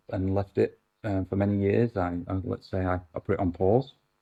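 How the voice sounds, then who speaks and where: At a moderate pace, a man with a British accent speaks in a dark, mellow tone, recorded with a dry, close sound and no echo. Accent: UK. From UK. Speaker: actor and councillor, former police officer. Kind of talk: interview. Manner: halting, many fillers.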